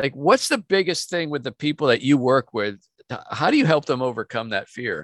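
A man with an ordinary speaking voice talks at a fairly quick pace and fairly high pitch. His intonation is lively, and the sound is dry and close with no echo. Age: 60s. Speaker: podcast host and business coach. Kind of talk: podcast interview. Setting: on a boat.

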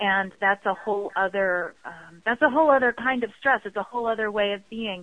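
This is a normal speaking voice with ordinary pitch variation. It goes at a fairly quick pace with hardly any pauses. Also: woman, medium pitch for a woman. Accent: American. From US East Coast, Baltimore. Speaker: clairvoyant business coach. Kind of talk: interview.

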